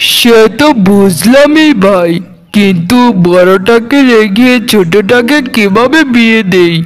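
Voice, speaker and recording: This is a cartoonish character voice from a man, high in pitch. He speaks at a very slow pace with lively intonation. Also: very even loudness. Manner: weary, gentle.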